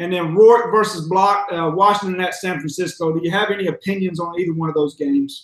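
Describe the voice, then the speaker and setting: Speaking with an American accent, a man uses a high pitch and fairly even intonation. His pace is fairly quick. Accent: sounds like a redneck (Southern US). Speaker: sports betting show host. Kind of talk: casual chat. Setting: live video stream.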